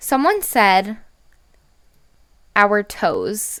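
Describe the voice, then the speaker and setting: Loud and fairly high-pitched, a woman speaks in a bright, sharp tone on a very clean recording with a silent background. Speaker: gaming youtuber. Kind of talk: casual gaming commentary. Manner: rambling conversational.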